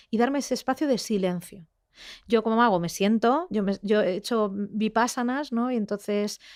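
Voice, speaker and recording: On a very clean recording with a silent background, a woman talks at a fairly quick pace with fairly even intonation. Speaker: investigative journalist. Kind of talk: interview conversation. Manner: fast; halting, many fillers.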